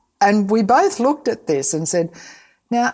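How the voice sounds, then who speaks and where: This woman has an Australian accent. Her pitch swings very widely. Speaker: safety consultant, podcast co-host. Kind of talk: casual conversation.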